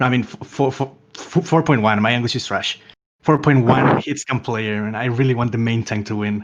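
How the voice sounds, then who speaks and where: In a Spanish accent, a man speaks at a medium pitch and a moderate pace with fairly even intonation. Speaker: esports commentator. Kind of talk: live commentary.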